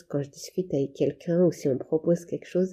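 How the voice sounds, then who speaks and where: A woman's very deep, low pitch, somewhat breathy, with a dark, mellow tone and fairly even intonation. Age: 30s. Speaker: patient sharing her therapy experience. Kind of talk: testimony. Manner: halting.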